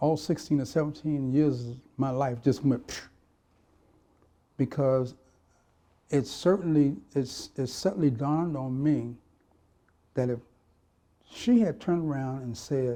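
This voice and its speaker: A man's fairly high voice with a dark, mellow tone and an American accent, ordinary pitch variation, a fairly slow pace and long, frequent pauses. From Miami, Florida. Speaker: retired police officer. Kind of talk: oral history interview answer.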